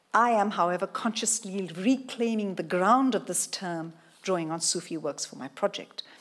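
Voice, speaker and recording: A woman's medium-pitched voice with ordinary pitch variation and big swings in loudness. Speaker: professor. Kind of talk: lecture. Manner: fast.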